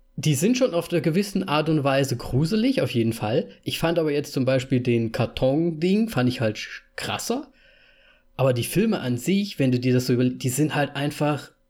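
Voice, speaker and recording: On a very clean recording with a silent background, a man with a fairly high, somewhat breathy voice speaks at a moderate pace, his intonation lively and his loudness very even. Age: 30s. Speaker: podcast host. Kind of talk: casual chat.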